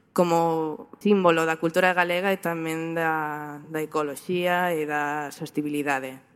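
An unremarkable speaking voice from a woman, fairly low in pitch, at a fairly slow pace with hardly any pauses and fairly even intonation, on a very clean recording with a silent background. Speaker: photographer. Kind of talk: talk presentation.

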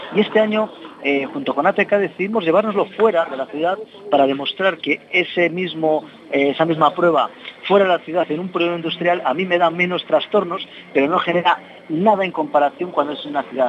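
A man's high voice at a fairly quick pace, with ordinary pitch variation, over noticeable background noise. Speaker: local councillor for motor activities. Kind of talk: interview. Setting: café, remote broadcast. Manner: talkative.

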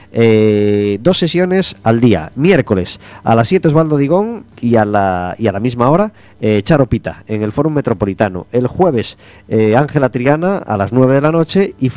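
In a normal speaking voice, a man talks at a moderate pace and medium pitch, with lively intonation. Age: 40s. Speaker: radio host. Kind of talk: radio magazine chat.

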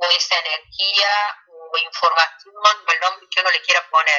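The speaker is a woman with a medium pitch. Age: 40s. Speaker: pediatrician and alternative therapist. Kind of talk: radio interview. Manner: hesitant, many fillers.

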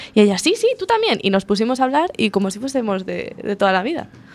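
Talking at a very fast pace, a woman uses a fairly high pitch with very wide pitch swings. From Madrid, Spain. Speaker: podcast co-host. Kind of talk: casual chat.

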